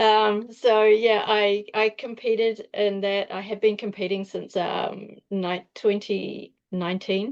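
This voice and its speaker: A woman talks very slowly with hardly any pauses. Her medium-pitched voice is flat and monotone. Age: 60s. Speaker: nutritionist and masters powerlifter. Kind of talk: interview.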